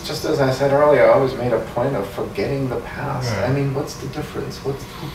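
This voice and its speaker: With audible room echo and noticeable background noise, a man speaks with fairly even intonation. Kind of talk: interview answer. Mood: evasive, hesitant. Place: meeting room. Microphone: camera far.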